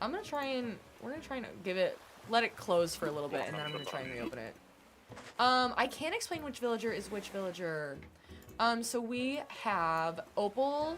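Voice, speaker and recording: With an American accent, a woman talks at a fairly quick pace. Her pitch swings very widely. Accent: sometimes slips into Southern. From US Midwest, Kansas City. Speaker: gaming streamer. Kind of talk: casual live stream chat. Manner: chatty, rambling.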